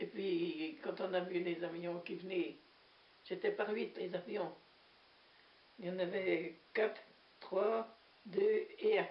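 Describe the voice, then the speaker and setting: A woman speaks very slowly in a medium pitch, with ordinary pitch variation. She leaves long, frequent pauses. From Normandy, France (Manche). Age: 80s+. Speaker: war witness, former farm worker. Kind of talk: testimony. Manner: hesitant, conversational.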